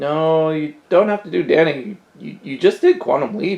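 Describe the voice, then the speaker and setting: A put-on character voice at a middle pitch, delivered at a moderate pace. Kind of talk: comic sketch acting. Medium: comedy sketch.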